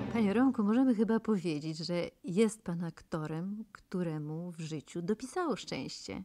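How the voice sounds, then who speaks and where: A woman's intonation is lively while she keeps a moderate speed. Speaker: radio interviewer. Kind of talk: radio interview.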